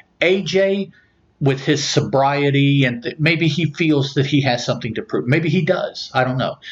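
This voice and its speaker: A somewhat breathy man with an American accent speaks in a fairly high voice with ordinary pitch variation. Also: moderate pace. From US South, southern West Virginia. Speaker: podcast host. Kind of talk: casual chat.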